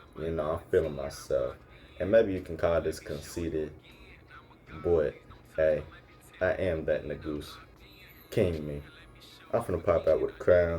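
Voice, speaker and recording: A man talks at an average speed. Behind him, music can be heard. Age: young. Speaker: podcast host. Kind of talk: casual monologue. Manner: animated.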